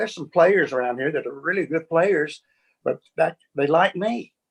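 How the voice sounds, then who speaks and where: A man speaks with an Alabama accent at a fairly high pitch. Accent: Southern US (Alabama). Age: 70s. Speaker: session bassist. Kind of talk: interview.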